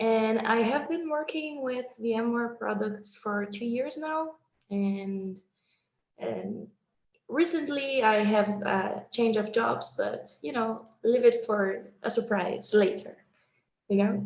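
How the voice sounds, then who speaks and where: A very slow delivery in a Brazilian accent, with ordinary pitch variation. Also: woman, fairly high pitch for a woman. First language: Portuguese. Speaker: user group leader. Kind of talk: casual chat.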